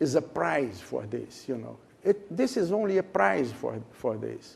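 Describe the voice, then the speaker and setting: A man's fairly high-pitched voice with vocal fry. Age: 70s. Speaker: management consultant. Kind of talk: interview. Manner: halting.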